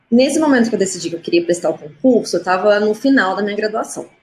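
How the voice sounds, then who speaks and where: Her medium pitch shows ordinary variation as the woman speaks. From Minas Gerais, Juiz de Fora (Brazil). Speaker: diplomat. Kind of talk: live stream interview.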